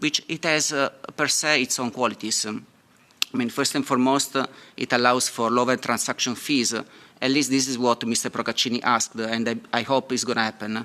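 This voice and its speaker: A man with a non-native accent, flat monotone intonation and a moderate pace. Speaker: software engineer and fintech entrepreneur. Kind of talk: panel talk. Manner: halting, many fillers.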